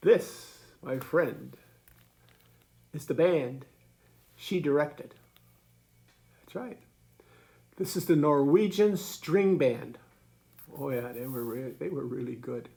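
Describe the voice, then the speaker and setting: Very slow and marked by long, frequent pauses, a man's speech has big swings in loudness. His fairly high voice carries a dark, mellow tone. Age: 80s+. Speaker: grandfather storyteller. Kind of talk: casual storytelling to children. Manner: halting, repetitive.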